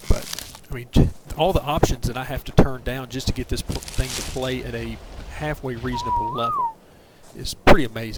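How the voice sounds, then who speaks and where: Noticeable background noise surrounds a man with a Southern US accent. He talks at a fairly quick pace. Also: big swings in loudness. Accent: Southern accent, fairly strong. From US South, southern Middle Tennessee. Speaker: video game streamer. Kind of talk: casual gameplay commentary on a livestream.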